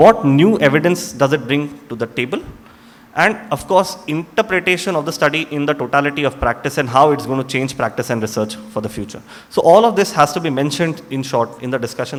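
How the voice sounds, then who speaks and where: A man with a Tamil accent, talking very fast at a fairly high pitch, his intonation lively, over noticeable background noise. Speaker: doctor. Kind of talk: lecture.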